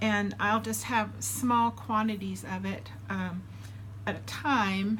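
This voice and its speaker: Speaking at a very slow pace, a woman is heard with audible room echo. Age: 60s. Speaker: weight loss surgery vlogger. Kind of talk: casual vlog update. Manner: casual, with frequent fillers.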